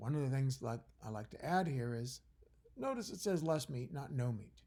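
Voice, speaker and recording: Somewhat breathy, this man's voice carries a dark, mellow tone, and its pitch varies in an ordinary way. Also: medium pitch for a man, moderate pace. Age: 60s. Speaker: college biology professor. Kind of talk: recorded lecture. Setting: at home by a fire. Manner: conversational, with fillers and restarts.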